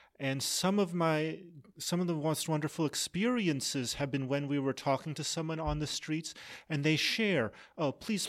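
A man with an American accent speaks in an ordinary speaking voice at a fairly slow pace, his fairly high pitch showing ordinary variation on a very clean recording with a silent background. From Massachusetts. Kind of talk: interview.

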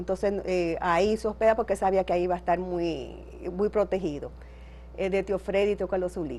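A woman speaks at a medium pitch with vocal fry. Her pitch varies in an ordinary way. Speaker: daughter of a revolutionary. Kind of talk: interview.

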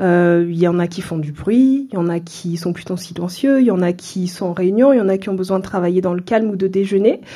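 A woman's unremarkable speaking voice at medium pitch, fairly quick with hardly any pauses, and ordinary pitch variation. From France, Seine-Saint-Denis (Paris suburbs). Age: 30s. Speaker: entrepreneur, café owner. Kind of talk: interview.

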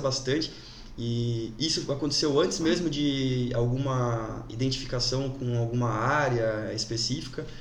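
Amid audible room echo, a man speaks at a fairly slow pace and a medium pitch with ordinary pitch variation. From Brazil, Jaraguá do Sul, Santa Catarina. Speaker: lawyer. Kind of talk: casual interview. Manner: halting, many fillers.

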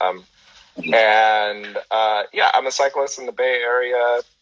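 A man with a Californian accent, recorded with a dry, close sound and no echo. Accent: American (Californian). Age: 30s. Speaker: cyclist and photographer, podcast host. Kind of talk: casual interview chat. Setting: video call, live stream.

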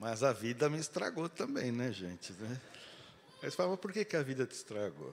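This man speaks at a moderate pace and a medium pitch, his voice swinging very widely in pitch and showing vocal fry. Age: 50s. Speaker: guest preacher. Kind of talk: sermon. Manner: animated.

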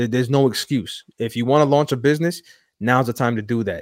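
Over a silent background in a very clean recording, a man speaks in a normal speaking voice at a medium pitch. His pace is fairly quick, with ordinary pitch variation. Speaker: podcast host. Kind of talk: casual chat.

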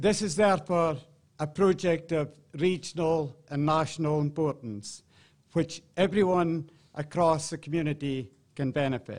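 With a plain, everyday voice, a man talks at a moderate pace, his pitch fairly high and its variation ordinary, against a quiet background. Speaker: football club chairman. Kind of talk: ceremony speech. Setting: stage with audience.

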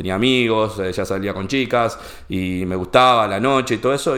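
This man talks with a Rioplatense accent and a fairly low pitch. His intonation is lively. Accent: Argentine Rioplatense Spanish. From Argentina, Junín (Buenos Aires province). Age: 50s. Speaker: entrepreneur and financial educator. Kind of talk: casual interview chat. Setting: his place of business.

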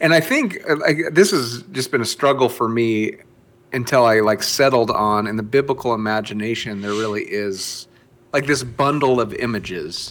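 Medium pitch, ordinary pitch variation and a moderate pace in a man's voice, an unremarkable speaking voice. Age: 40s. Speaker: podcast co-host. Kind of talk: casual chat.

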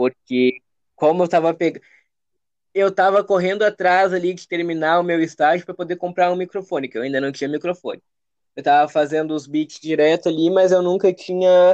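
Speaking at a fairly quick pace, a man has a high pitch and fairly even intonation. The sound is dry and close, with no echo. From Rio Grande do Sul, Brazil (Alvorada, Porto Alegre area). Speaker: rapper and music producer. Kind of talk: casual interview.

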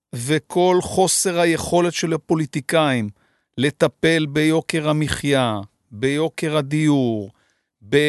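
Against a quiet background with a dry, close sound and no echo, a man speaks at a very slow pace, his fairly high pitch showing ordinary pitch variation. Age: 50s. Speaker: podcast host. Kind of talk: interview. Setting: studio.

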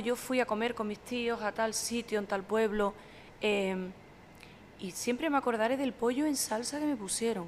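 The woman's voice sits fairly high in pitch with ordinary pitch variation. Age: 40s. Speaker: sommelier and social media communicator. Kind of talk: casual chat.

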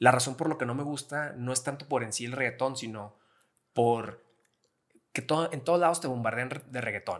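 Ordinary pitch variation and a moderate pace in a normal speaking voice. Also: man, medium pitch for a man. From Mexico, Gómez Palacio, Durango (La Laguna region). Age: 30s. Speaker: rock music fan. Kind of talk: casual chat.

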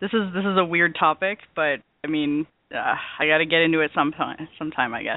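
A woman speaks at a fairly quick pace in a very deep, low voice, with ordinary pitch variation. Her pauses are long and frequent. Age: 30s. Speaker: community member guest. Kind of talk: casual chat. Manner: animated, fast.

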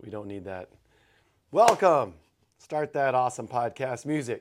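Speaking slowly with long, frequent pauses, a man with an American accent uses a medium pitch, ordinary pitch variation and big swings in loudness, in a very clean recording with a silent background. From Texas. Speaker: podcast co-host, gym owner. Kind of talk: casual chat.

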